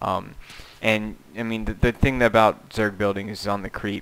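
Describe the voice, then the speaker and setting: A man speaks at a fairly quick pace, his fairly low voice held in a flat monotone. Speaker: video game commentator. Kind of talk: live commentary. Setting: home room. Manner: soft-spoken.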